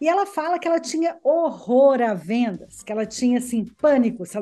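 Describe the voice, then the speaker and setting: A woman's high-pitched voice carries a dark, mellow tone and lively intonation. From Brazil, Belo Horizonte (Minas Gerais). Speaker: business consultant. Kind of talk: interview.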